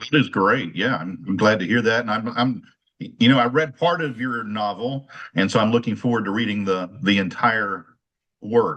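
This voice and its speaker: A man's unremarkable speaking voice, medium in pitch, with ordinary pitch variation, at a moderate pace against a quiet background. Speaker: university teacher. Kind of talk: casual chat.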